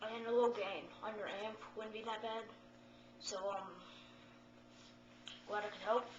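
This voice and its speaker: Against noticeable background noise, a woman speaks fairly slowly in a fairly high, monotone, flat voice, with long, frequent pauses. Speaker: guitarist. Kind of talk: casual guitar tutorial.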